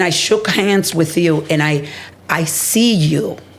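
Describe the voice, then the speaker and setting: Over noticeable background noise, a woman talks with a very deep, low pitch and fairly even intonation. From Dominican Republic. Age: 60s. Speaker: healthcare executive and advocate. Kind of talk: interview conversation.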